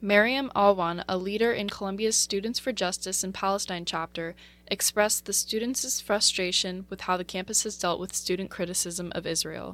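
An ordinary speaking voice from a woman, medium in pitch, with fairly even intonation, a moderate pace and a very clean recording with a silent background. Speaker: radio news reporter. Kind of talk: news reading. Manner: formal, even-paced newsreader delivery; measured and neutral, reading a script.

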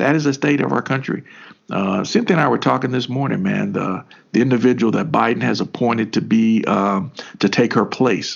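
At a fairly quick pace, a man of medium pitch speaks with vocal fry. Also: ordinary pitch variation. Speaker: podcast co-host. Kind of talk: casual political discussion.

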